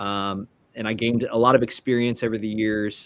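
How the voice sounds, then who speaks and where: A man with an American accent, fairly low pitch, monotone, flat intonation and a moderate pace. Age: 20s. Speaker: immigration consultant. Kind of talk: interview.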